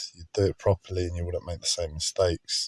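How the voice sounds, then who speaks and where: A man's very deep, low, somewhat breathy voice, dark and mellow in tone, at a very fast pace. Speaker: streamer. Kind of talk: casual monologue livestream. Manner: halting, repeats words.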